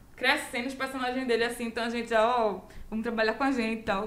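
Audible room echo surrounds the speech. A woman talks at a high pitch with fairly even intonation. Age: 20s. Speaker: comedy producer. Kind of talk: casual chat.

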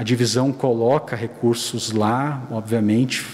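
A man talks at a fairly slow pace with ordinary pitch variation. Noticeable background noise sits behind him. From Rio Grande do Sul, southern Brazil. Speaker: church internal auditor. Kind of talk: casual chat.

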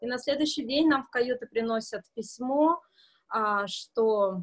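Pitched fairly high, a woman speaks with lively intonation. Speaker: cruise passenger in quarantine. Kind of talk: casual interview. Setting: video call from hotel corridor.

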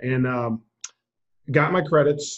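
A man has an unremarkable speaking voice, medium in pitch, with fairly even intonation. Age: 40s. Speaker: football coach. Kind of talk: interview.

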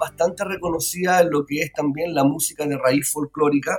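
A man is speaking. His pace is fairly quick. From Chile, Pirque (Santiago area). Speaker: musician, band vocalist. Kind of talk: radio interview.

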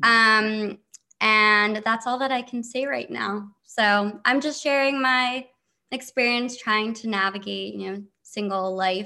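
Against a quiet background, a woman with an American accent speaks very slowly in a fairly high voice, her tone bright and sharp and her intonation fairly even. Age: 20s. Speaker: TikToker, reality show cast member. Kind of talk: interview.

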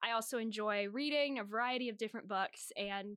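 With an American accent and a bright, sharp tone, a woman speaks at a moderate pace with ordinary pitch variation. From Northern Virginia. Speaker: student podcast co-host. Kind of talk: casual chat.

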